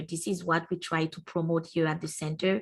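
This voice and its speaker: The speech has a French accent. It runs at a fairly quick pace with fairly even intonation. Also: woman. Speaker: university entrepreneurship centre staff presenter. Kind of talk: webinar presentation. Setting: online webinar.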